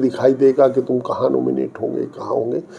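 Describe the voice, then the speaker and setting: Noticeable background noise sits under this voice. A man speaks at a fairly high pitch. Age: 60s. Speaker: politician. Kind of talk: interview.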